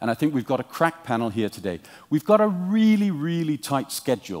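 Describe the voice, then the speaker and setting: The background stays quiet while a man talks. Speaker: panel moderator. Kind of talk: opening remarks to an audience. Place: hall.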